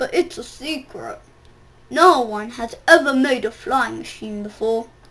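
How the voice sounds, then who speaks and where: Putting on a character voice, a woman speaks high in pitch with lively intonation at a moderate pace. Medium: read story.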